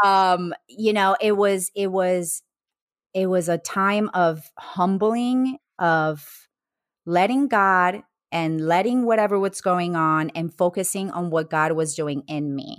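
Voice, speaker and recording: The delivery is very slow with ordinary pitch variation, in a very clean recording with a silent background. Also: woman, medium pitch for a woman. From Colombia. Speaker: podcast guest, personal brand specialist. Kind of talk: casual interview, personal storytelling.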